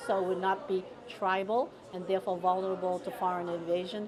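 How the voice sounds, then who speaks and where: Over noticeable background noise, a woman with a Taiwanese accent speaks at a moderate pace in a medium pitch with fairly even intonation. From US Northeast, Boston's Chinatown. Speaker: retired teacher and writer. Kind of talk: interview. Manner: halting, many fillers.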